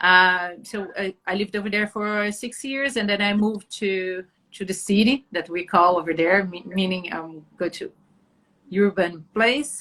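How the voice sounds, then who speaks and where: In a Brazilian Portuguese accent, the speaker has a bright, sharp tone and ordinary pitch variation at a fairly slow pace. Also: woman, medium pitch for a woman. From Brazil, Atibaia area. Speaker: journalist, photographer and actress. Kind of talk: interview. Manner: halting.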